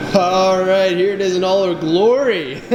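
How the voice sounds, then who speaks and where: A loud, animated man's voice, high in pitch with ordinary pitch variation, amid noticeable background noise and audible room echo. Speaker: car vlogger. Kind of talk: casual vlog tutorial. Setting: garage shop. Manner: loud, raised voice; casual, animated.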